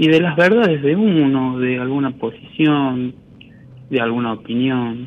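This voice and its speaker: With an unremarkable speaking voice, a man talks at a medium pitch and a fairly slow pace, with ordinary pitch variation. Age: 20s. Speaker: caller. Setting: phone call.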